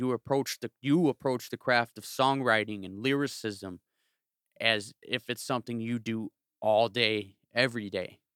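In a very clean recording with a silent background and a dry, close sound with no echo, a man speaks with an American accent. He has an unremarkable speaking voice at a medium pitch, with fairly even intonation and a fairly slow pace. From Chicago south suburbs. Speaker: podcast host and music engineer. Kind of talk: casual chat.

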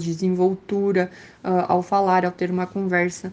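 A woman speaks at a medium pitch and a moderate pace. Her tone is dark and mellow. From Brazil, Rio Grande do Sul. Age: 20s. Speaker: medical student and dentist. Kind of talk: interview. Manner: hesitant with fillers.

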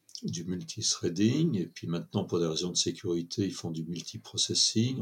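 A man speaks with a very deep, low pitch. His pace is fairly slow. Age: 70s. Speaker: computer scientist. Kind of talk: interview. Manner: halting.

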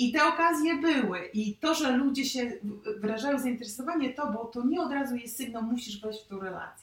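There is noticeable background noise as a woman speaks at a fairly quick pace in a high pitch. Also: ordinary pitch variation. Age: 30s. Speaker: youtuber sharing her love story. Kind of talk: casual interview.

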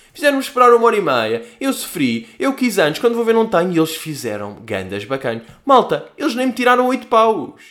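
Animated in tone, a man speaks at a fairly quick pace with hardly any pauses. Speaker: podcast host. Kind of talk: casual solo monologue.

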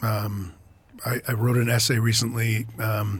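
A man with an American accent speaks in a somewhat breathy voice at medium pitch with monotone, flat intonation. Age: 60s. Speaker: author and professor. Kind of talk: casual interview.

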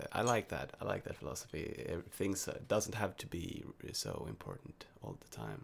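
A man with a Swedish accent, a very deep, low pitch and vocal fry, very wide pitch swings, big swings in loudness and a moderate pace. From Sweden. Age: 20s. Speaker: university student. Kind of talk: casual chat. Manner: halting.

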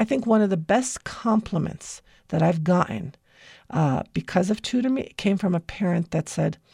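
An American-accented woman speaks with lively intonation and vocal fry. The recording is very clean, with a silent background. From United States. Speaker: educator and tutoring business founder. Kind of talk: radio interview.

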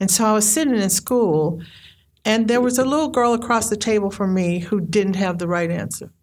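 A woman speaks at a fairly quick pace in a medium pitch with ordinary variation. Audible room echo surrounds her voice. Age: 60s. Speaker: storyteller and poet. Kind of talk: storytelling.

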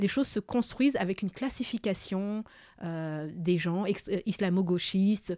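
A woman speaks at a moderate pace in a dry, close sound with no echo. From Madagascar, moved to France at 9. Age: 30s. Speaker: podcast co-creator. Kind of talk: casual conversation.

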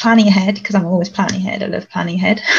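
A woman speaks in a somewhat breathy voice with a monotone, flat intonation. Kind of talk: panel discussion.

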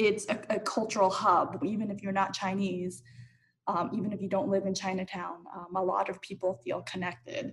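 At a moderate pace, a woman with an American accent uses a plain, everyday voice at a medium pitch. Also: fairly even intonation. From US West Coast, Los Angeles. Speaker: arts center director. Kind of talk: panel discussion. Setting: video call.

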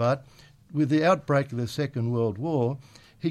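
With an Australian accent, a man speaks at a moderate pace and medium pitch with ordinary pitch variation, on a very clean recording with a silent background. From Australia, Penrith NSW. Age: 70s. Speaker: retired local businessman. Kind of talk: interview. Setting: radio studio.

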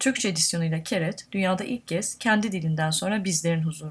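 Somewhat breathy and at medium pitch, a woman speaks at a fairly quick pace with lively intonation in a very clean recording with a silent background. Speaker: podcast host and publisher. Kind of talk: interview; scripted narration.

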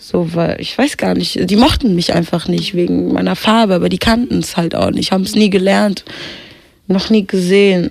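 Noticeable background noise runs under the recording. A woman talks at a moderate pace. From Kenya. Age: 20s. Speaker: rapper and singer. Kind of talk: interview.

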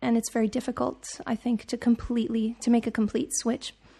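A woman's fairly high-pitched voice, dark and mellow in tone, with fairly even intonation at a moderate pace. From Serbia. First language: Serbian. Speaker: singer-songwriter. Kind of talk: interview. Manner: halting.

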